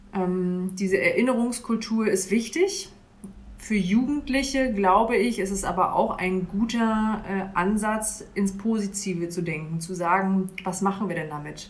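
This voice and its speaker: A woman speaks fairly slowly, her voice carrying audible echo from the room. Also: medium pitch for a woman, ordinary pitch variation. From Mecklenburg, northeastern Germany (Bad Doberan). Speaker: church youth worker. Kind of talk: interview. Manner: hesitant, many fillers.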